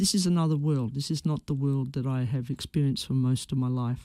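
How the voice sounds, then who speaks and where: In an Australian accent, a woman with a very deep, low pitch and a dark, mellow tone talks at a fairly quick pace on a very clean recording with a silent background. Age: 60s. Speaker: former teacher. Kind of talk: radio interview answer.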